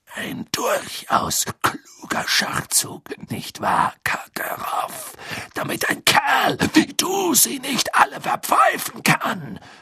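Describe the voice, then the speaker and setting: The speaker uses a put-on character voice and talks at a very slow pace. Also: man, extremely high pitch for a man. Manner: muttering.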